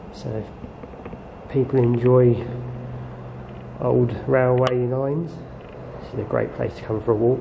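A man speaks against noticeable background noise. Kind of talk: casual vlog chat. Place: tunnel cave. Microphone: phone near.

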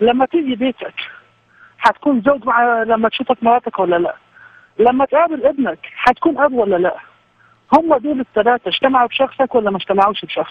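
A man's extremely high-pitched voice at a moderate pace. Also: ordinary pitch variation, dry sound with no echo. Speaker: guest. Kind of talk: religious debate explanation. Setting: phone call. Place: studio.

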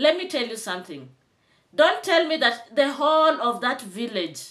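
A woman talks in an animated tone at a fairly slow pace. The background is quiet. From Kenya. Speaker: YouTube commentator. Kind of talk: commentary vlog. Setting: home, on camera with tripod. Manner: animated, emphatic. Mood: indignant. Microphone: phone near.

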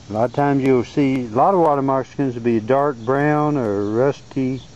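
A man with a Southern US accent talks at a moderate pace with fairly even intonation and a dry sound with no echo. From Arkansas. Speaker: amateur naturalist. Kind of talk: casual narration over home video. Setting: outdoors. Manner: halting, casual. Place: garden. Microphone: phone near.

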